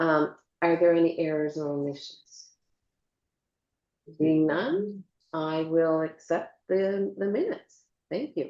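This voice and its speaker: Speaking at a fairly slow pace, a woman has a plain, everyday voice with ordinary pitch variation. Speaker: mayor chairing council meeting. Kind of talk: council meeting chairing.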